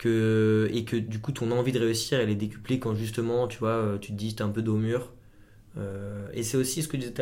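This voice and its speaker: In a room with audible echo, a man speaks at a moderate pace with a dark, mellow tone, medium pitch and fairly even intonation. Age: 20s. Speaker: optician and company co-founder. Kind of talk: casual chat.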